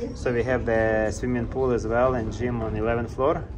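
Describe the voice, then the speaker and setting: There is noticeable background noise. Over it, a man talks at a fairly slow pace. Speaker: cruise vlogger. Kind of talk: casual tour commentary. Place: hall. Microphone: phone near.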